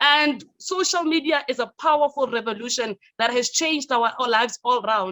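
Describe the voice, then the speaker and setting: Loud and energetic, a woman talks at a moderate pace with a high pitch, a bright, sharp tone and lively intonation. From South Africa. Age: young. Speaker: youth leader and radio personality. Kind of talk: conference presentation.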